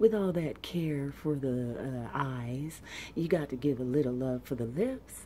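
The voice is soft-spoken, with a dark, mellow tone and ordinary pitch variation. It moves at a fairly slow pace over light background noise. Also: woman, very deep, low pitch for a woman. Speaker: ASMR beauty creator. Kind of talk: ASMR makeup unboxing and review, talking to camera.

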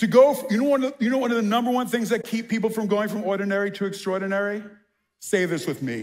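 Speaking fast with a New York accent, a man uses a high pitch and ordinary pitch variation. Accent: New York American.

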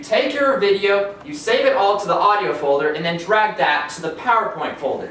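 A man's high-pitched voice at a moderate pace, with audible room echo and light background noise. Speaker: presenter. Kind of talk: mock tutorial presentation. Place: home room. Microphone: camera far.

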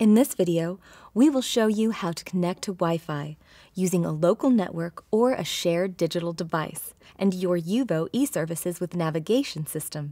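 Over a quiet background, a woman speaks at a moderate pace in a dark, mellow tone. Her pitch shows ordinary variation. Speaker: presenter. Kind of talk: tutorial. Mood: friendly, smiling. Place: car.

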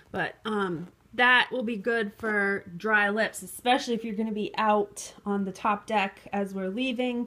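A woman's bright, sharp tone carries fairly even intonation. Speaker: travel vlogger. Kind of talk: casual vlog chat. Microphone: phone near.

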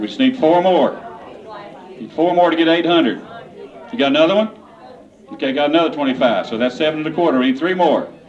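Crowd noise fills the background as a man speaks at a very fast pace. His fairly high pitch moves in very wide swings. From Kentucky. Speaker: auctioneer. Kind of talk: casual fundraising appeal to a crowd. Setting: live charity auction event. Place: hall. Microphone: handheld.

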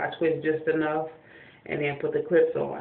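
A woman speaks in a very deep, low voice, with audible room echo. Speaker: hair care vlogger. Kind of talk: casual tutorial vlog. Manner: hesitant, many fillers.

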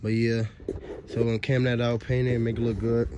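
The voice is monotone with flat intonation, the sound dry with no echo over light background noise. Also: man. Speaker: car mechanic vlogger. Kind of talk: casual vlog chat. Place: street. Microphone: phone near.

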